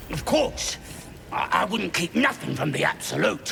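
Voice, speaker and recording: A put-on character voice from a man, moderately paced, over clear background noise. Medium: video game. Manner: crude, cocky.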